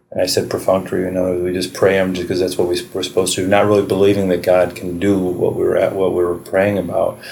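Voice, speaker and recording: A man with a very deep, low voice speaks very fast in a monotone, flat way with hardly any pauses, amid audible room echo and noticeable background noise. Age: 40s. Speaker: podcast host. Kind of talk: casual chat. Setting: public library.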